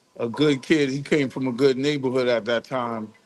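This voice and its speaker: A man's medium-pitched voice with a New York accent and fairly even intonation. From New York, the Bronx. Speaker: music industry executive. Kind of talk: interview.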